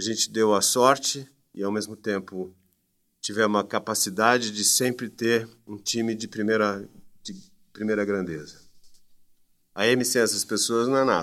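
Speaking at a fairly slow pace with long, frequent pauses and fairly even intonation, the man is heard on a very clean recording with a silent background. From Brazil, Campinas (São Paulo state). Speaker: education marketing entrepreneur. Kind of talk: interview.

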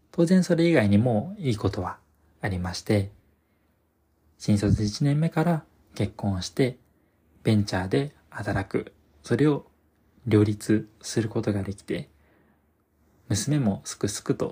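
A man talks in a fairly low pitch with a dark, mellow, somewhat breathy tone and lively intonation. He goes at a fairly slow pace, with long, frequent pauses. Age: 20s. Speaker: podcast host. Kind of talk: solo monologue. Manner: formal.

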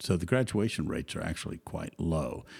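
A man with a Southern US accent speaks in a dark, mellow tone with lively intonation. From US South, Georgia. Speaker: company chairman and co-founder. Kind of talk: casual interview conversation. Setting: podcast interview.

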